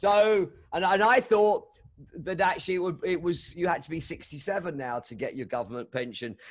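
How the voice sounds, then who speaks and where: A man with a London accent, high in pitch, at a moderate pace with big swings in loudness. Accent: English, London area. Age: 60s. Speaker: DJ. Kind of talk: casual interview chat. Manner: halting, many fillers.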